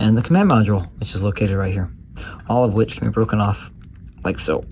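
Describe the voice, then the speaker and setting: A quiet man's voice, fairly low in pitch, at a very fast pace. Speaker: toy reviewer. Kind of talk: casual product review to camera. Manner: quiet, monotone.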